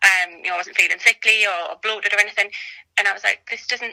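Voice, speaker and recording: A woman with a North East England accent talks very fast at a medium pitch, her intonation fairly even, in a dry, close recording with no echo. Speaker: mother sharing birth story. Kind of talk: casual interview.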